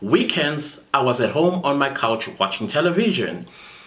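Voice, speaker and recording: A man's pitch swings very widely, with noticeable background noise behind him. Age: 40s. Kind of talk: casual talk to camera.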